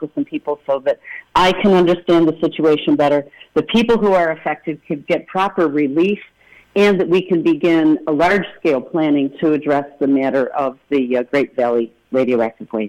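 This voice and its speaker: A woman speaks at a moderate pace in a very deep, low voice, with ordinary pitch variation. She has a Rochester accent. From western New York, Rochester. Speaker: congressional candidate. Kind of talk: radio interview.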